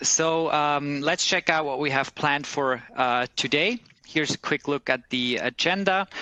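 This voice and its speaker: Bright, sharp tone and fairly high pitch mark a man with a Swiss German accent, speaking at a moderate pace with ordinary pitch variation in a dry, close sound with no echo. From German-speaking Switzerland, Bern. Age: 30s. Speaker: recruiter. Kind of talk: webcast presentation. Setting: office.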